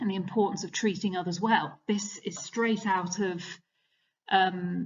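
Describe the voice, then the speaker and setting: A woman speaks at a medium pitch with a somewhat breathy quality. Her intonation is fairly even. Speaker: teacher. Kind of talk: revision lecture. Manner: fast.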